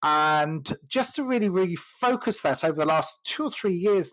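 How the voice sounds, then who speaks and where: Speaking at a moderate pace with an English accent, a man uses lively intonation. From England. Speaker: sales coach. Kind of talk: casual chat. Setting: audio chat room. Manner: hesitant, many fillers.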